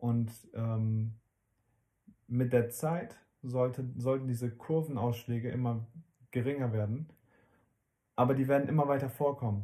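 At a fairly slow pace with long, frequent pauses, a man speaks in a dark, mellow, somewhat breathy voice of medium pitch and fairly even intonation. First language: not German (speaking German). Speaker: parenting podcast co-host. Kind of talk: casual chat.

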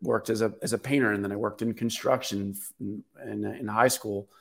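A man with an American accent and an unremarkable speaking voice talks at medium pitch and a moderate pace, his intonation fairly even, on a very clean recording with a silent background. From US, Baltimore, Maryland. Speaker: real estate entrepreneur and author. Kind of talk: interview conversation.

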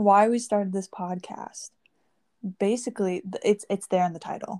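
Recorded very cleanly with a silent background and a dry, close sound with no echo, a woman speaks at a moderate pace in a dark, mellow tone. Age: 19. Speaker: podcast co-host. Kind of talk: casual chat.

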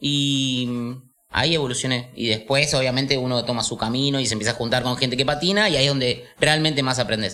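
Here a man speaks at a medium pitch with ordinary pitch variation. His pace is fairly quick. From Buenos Aires city, Argentina. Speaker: roller skater. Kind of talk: casual chat. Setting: studio.

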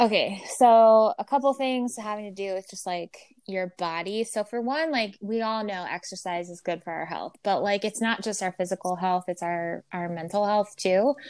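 Speaking at a moderate pace with hardly any pauses, a woman uses a plain, everyday voice of medium pitch and ordinary pitch variation. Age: 30s. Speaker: podcast host. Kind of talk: casual chat.

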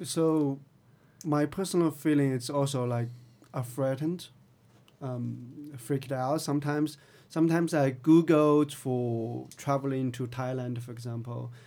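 A man with a Chinese accent speaks at a fairly slow pace, his fairly high pitch carried by a dark, mellow tone and fairly even intonation. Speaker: tech company CTO. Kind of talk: interview.

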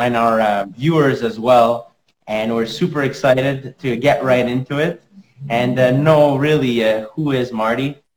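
Speaking fairly slowly, the clip carries a plain, everyday voice. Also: man. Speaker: podcast host. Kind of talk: interview. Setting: video call.

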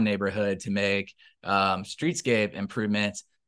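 A man with an American accent speaks at a moderate pace in a fairly low pitch. The background is quiet. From Tallahassee, Florida. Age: 30s. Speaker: city commissioner, politician. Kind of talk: interview.

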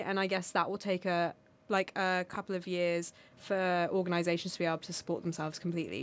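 A woman speaks with a British accent at a fairly quick pace. The recording is very clean, with a silent background. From United Kingdom. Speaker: podcast guest from the Armenian diaspora. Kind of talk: casual chat.

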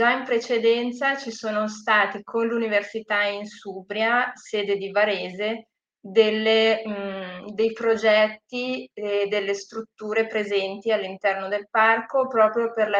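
A woman's very slow speech in monotone, flat intonation. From northern Italy, Lake Como (Gravedona). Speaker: sustainable tourism professional. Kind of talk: interview.

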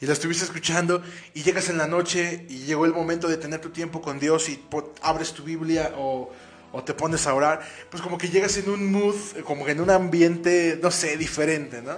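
A man's high voice at a moderate pace, with big swings in loudness and noticeable background noise. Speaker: radio host. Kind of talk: casual chat. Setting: studio. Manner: animated.

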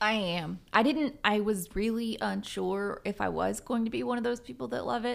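Recorded very cleanly with a silent background, a woman speaks at a moderate pace with hardly any pauses. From Southern Virginia. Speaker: public adjuster. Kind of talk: casual chat. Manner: halting.

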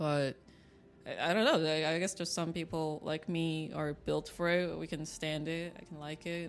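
Over music in the background, a woman speaks with monotone, flat intonation. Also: fairly low pitch for a woman, moderate pace. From China. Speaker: artist. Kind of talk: interview monologue.

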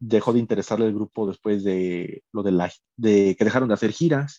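A man talks at a fairly slow pace in a fairly low, dark, mellow voice with ordinary pitch variation. The sound is dry and close, with no echo. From Mexico, Puebla. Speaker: Beatles fan, podcast guest. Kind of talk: casual chat.

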